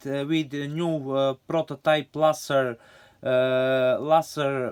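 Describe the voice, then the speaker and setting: Speaking at a very slow pace, a man talks with a Serbian accent. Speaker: scale model hobbyist. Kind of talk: show-and-tell video. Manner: halting, many fillers.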